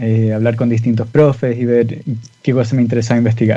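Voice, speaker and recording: A man speaks at a medium pitch with a Chilean accent. His pace is fairly quick. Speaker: physicist. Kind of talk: interview.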